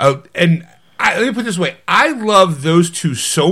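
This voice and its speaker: A man's fairly high, bright and sharp voice, animated, with lively intonation and a fairly slow pace. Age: 50s. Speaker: podcast co-host. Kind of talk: casual chat.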